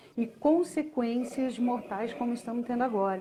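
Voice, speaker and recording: Her tone is dark and mellow. This woman speaks at a fairly high pitch. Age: 60s. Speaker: communication and expressiveness consultant. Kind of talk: live stream chat. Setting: live video stream. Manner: animated.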